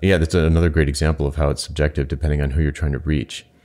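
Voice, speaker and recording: Very deep and low, a man's voice rattles with vocal fry as he talks at a very fast pace. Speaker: podcast co-host. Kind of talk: casual chat. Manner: conversational, plain-spoken.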